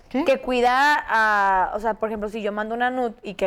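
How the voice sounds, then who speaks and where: On a very clean recording with a silent background, a woman with a Mexican accent speaks at a moderate pace, her fairly high pitch showing ordinary variation. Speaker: podcast co-host, nutritionist. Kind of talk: casual chat. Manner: animated.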